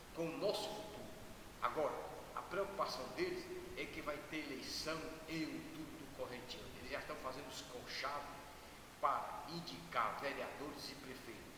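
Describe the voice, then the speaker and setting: Noticeable background noise and audible room echo surround a man who speaks with long, frequent pauses. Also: moderate pace. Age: 70s. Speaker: radio host. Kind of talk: radio commentary. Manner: conversational, informal.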